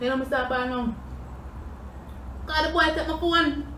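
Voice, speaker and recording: A woman in a Jamaican accent talks at a fairly quick pace over noticeable background noise. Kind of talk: casual storytime talk to camera while eating.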